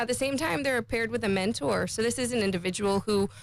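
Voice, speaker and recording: Ordinary pitch variation and vocal fry mark a woman's speech. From Cayman Islands. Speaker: finance industry association representative. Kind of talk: radio interview.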